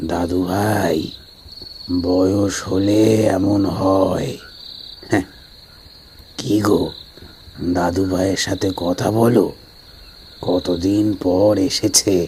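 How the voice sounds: Very slowly, a man puts on a character voice with a very deep, low pitch. Background noise is clear.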